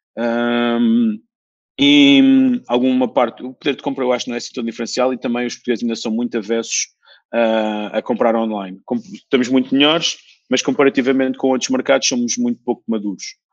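This man's medium-pitched voice moves at a fairly quick pace with fairly even intonation, recorded dry and close with no echo. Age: 40s. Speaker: entrepreneur. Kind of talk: interview. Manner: halting, many repetitions.

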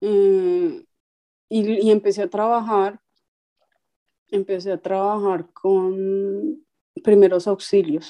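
A woman speaks at a very slow pace with long, frequent pauses. Her voice has medium pitch, a dark, mellow tone and fairly even intonation. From Colombia, Ibagué. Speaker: musician and tram driver. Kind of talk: testimony.

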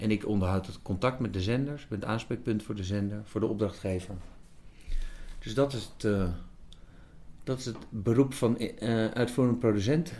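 A man talks at a fairly low pitch in a dark, mellow tone. His speech has long, frequent pauses. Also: ordinary pitch variation, moderate pace. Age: 50s. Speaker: TV executive producer. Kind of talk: interview. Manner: halting, many repetitions.

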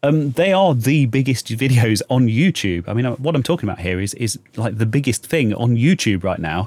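A man with a British accent, fairly quick delivery, and very wide pitch swings. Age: 30s. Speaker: YouTuber and podcast host. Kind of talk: solo casual podcast monologue. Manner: halting, many fillers.

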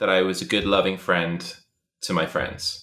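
This man has a West Midlands accent and a bright, sharp tone. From England, Shropshire. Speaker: podcast guest, host's old friend. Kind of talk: casual chat.

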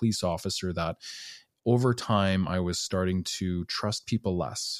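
With a Canadian accent, a man talks in a very deep, low pitch with ordinary pitch variation, in a dry, close sound with no echo on a very clean recording with a silent background. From northern Alberta, Canada. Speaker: podcast host, retired police officer. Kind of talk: casual interview.

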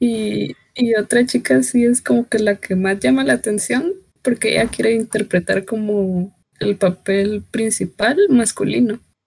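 The voice is somewhat breathy, with very wide pitch swings and very even loudness. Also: woman, medium pitch for a woman, fairly slow pace. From Guatemala. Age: 20s. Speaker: embroidery hobbyist. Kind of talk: casual chat.

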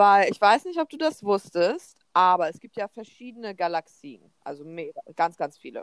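An animated woman at medium pitch, with very wide pitch swings and big swings in loudness, in a dry, close sound with no echo. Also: moderate pace. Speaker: podcast co-host. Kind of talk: casual chat.

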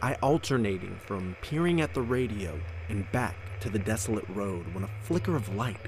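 Over noticeable background noise, a man speaks at a fairly low pitch with ordinary pitch variation. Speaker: podcast narrator. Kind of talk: horror story narration, reading aloud.

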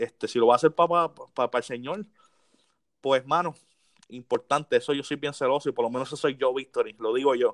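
Over a quiet background, a man with an unremarkable speaking voice talks at a fairly quick pace with ordinary pitch variation, in a dry, close sound with no echo. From Puerto Rico, Las Piedras. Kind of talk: casual interview chat.

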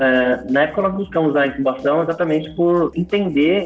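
A man speaks at a fairly quick pace with ordinary pitch variation. He has an ordinary speaking voice. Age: 30s. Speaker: startup founder and CEO. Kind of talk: interview.

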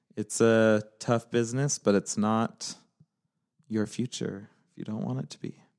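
A man with an American accent speaks in a plain, everyday voice at medium pitch and a fairly slow pace, with ordinary pitch variation and big swings in loudness, the sound dry and close with no echo. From Utah. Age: 30s. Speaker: podcast co-host, real estate agent. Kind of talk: casual chat.

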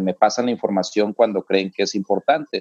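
In a dry, close sound with no echo, a man talks at a moderate pace with fairly even intonation. He has an unremarkable speaking voice. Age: 40s. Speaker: TV reporter and university lecturer. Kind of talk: interview.

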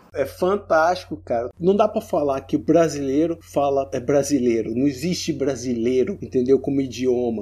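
Barely pausing, a man speaks with lively intonation in a dark, mellow tone. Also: fairly high pitch for a man, moderate pace. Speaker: guest. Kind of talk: casual chat.

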